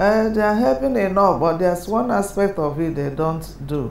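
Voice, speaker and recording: A woman's moderately paced speech, with ordinary pitch variation, is heard with audible echo from the room. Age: 70s. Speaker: interviewee living with hypertension. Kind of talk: documentary interview.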